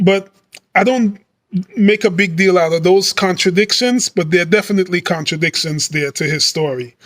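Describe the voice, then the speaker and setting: This is a man talking. His pitch is high. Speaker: bible teacher. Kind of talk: bible teaching monologue. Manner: halting, many fillers.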